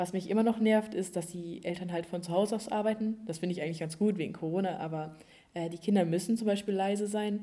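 This woman has a medium pitch and a dark, mellow tone. She talks very fast with fairly even intonation. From Germany, East Westphalia. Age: young. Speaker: au pair. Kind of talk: casual chat.

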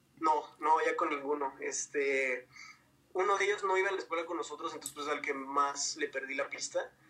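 There is noticeable background noise as a man talks at a moderate pace. His voice is fairly high, with ordinary pitch variation. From northern Mexico, Ciudad Juárez. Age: 20s. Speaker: pop singer. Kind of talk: interview.

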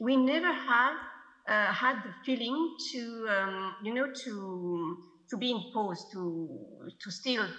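A woman with a French accent at a very slow pace, lively intonation and big swings in loudness, in audible room echo. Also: fairly high pitch for a woman. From France. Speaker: film editor. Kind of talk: festival Q&A. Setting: video call. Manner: halting.

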